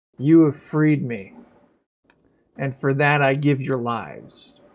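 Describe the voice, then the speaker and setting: A croaky, put-on character voice at a fairly slow pace. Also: man, medium pitch for a man. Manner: broken speech.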